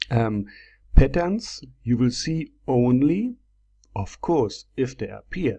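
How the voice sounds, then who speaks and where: A man with a non-native accent speaks at a medium pitch with ordinary pitch variation and a dark, mellow tone over a quiet background. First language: not English. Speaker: trading software seller and tutor. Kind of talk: screen-share tutorial. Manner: hesitant, many fillers.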